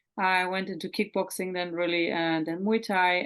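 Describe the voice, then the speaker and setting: A woman's fairly low-pitched voice with a German accent. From Germany, Hamburg. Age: 30s. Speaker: mental performance coach. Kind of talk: interview.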